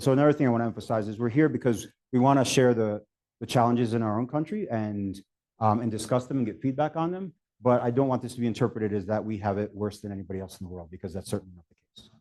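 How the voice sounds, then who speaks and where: At a very fast pace, a man with an American accent speaks in a dark, mellow tone at medium pitch, with ordinary pitch variation and big swings in loudness against a quiet background. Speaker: scientist presenter. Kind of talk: conference talk. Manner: halting, many fillers.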